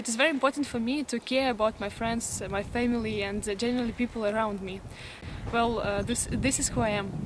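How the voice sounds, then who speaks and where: Against noticeable background noise, a woman talks very fast in a fairly high pitch with fairly even intonation. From Russia, Krasnoyarsk. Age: 20s. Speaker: student organization leader, job applicant. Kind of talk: application video self-presentation. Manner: halting with many fillers.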